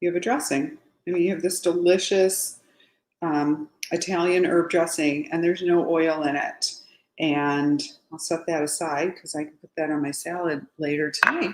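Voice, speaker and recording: A woman speaks in a fairly low pitch with ordinary pitch variation and big swings in loudness, and room echo is audible. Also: moderate pace. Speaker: home cooking youtuber. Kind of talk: cooking tutorial. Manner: casual, chatty. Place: kitchen. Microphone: webcam.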